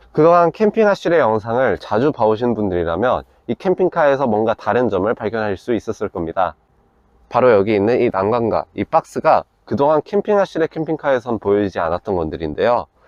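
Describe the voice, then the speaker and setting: A man with a medium pitch and very wide pitch swings at a fairly quick pace, the sound dry and close with no echo, the background quiet. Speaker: camper van builder presenting a vehicle. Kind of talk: product walkthrough.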